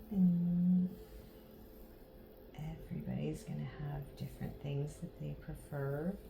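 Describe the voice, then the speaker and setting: Soft-spoken and calm, a woman talks at a very slow pace with long, frequent pauses, in a room with audible echo and noticeable background noise. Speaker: massage therapy instructor. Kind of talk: tutorial demonstration. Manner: slow, calm.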